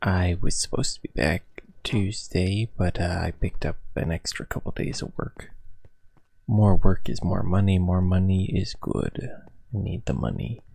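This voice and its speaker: A man speaks at a moderate pace with a very deep, low pitch and ordinary pitch variation. His tone is dark and mellow, and somewhat breathy. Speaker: gaming YouTuber. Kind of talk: gameplay commentary. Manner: casual, hesitant with fillers.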